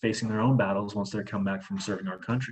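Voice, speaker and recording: A man with a Midwestern US accent talks at a fairly low pitch. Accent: US Midwest. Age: 20s. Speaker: charity fundraiser. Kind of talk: presentation with Q&A. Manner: fast; animated.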